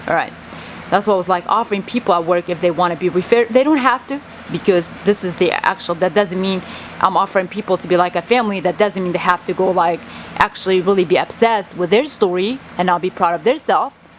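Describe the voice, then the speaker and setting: A woman speaks at a very fast pace with a Kurdish accent, her pitch medium with ordinary variation. Noticeable background noise runs behind her. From Kurdistan. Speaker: vlogger. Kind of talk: personal monologue vlog. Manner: halting.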